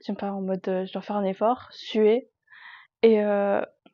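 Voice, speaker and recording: A woman is talking. The pace of her speech is fairly slow. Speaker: vlogger. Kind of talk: casual vlog monologue. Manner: loud; chatty, hesitant with fillers. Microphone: sounds quiet on mic.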